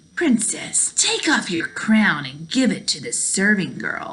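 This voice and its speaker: A put-on character voice, female-sounding and fairly high in pitch, moves at a fairly slow pace. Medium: read story. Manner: mocking, commanding.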